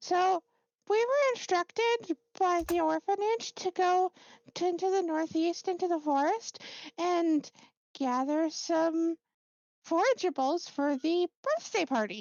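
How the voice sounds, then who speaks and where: A squeaky, put-on character voice at extremely high pitch, fairly slow pace, long, frequent pauses. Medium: actual play. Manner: hesitant, stumbling, repetitive.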